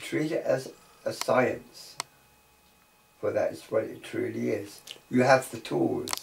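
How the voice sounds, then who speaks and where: Over noticeable background noise, the speech moves at a very slow pace with long, frequent pauses. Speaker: iridology teacher. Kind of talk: tutorial.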